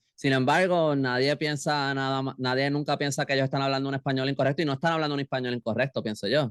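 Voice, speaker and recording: A man talks at a very fast pace with hardly any pauses, his pitch fairly high and his intonation fairly even. The sound is dry and close with no echo. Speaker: novelist and illustrator. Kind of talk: interview conversation. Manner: halting.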